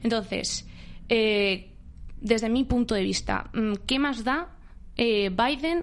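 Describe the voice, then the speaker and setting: The speaker has a normal speaking voice with lively intonation. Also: woman. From Spain, Barcelona. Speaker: university student. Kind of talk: political discussion.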